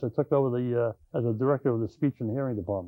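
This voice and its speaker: Talking at a very fast pace with a Long Island accent, a man holds a medium pitch with ordinary pitch variation. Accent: Long Island New York. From Long Island, New York (Patchogue). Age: 70s. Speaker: retired school principal. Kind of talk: oral history interview. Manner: halting, many fillers.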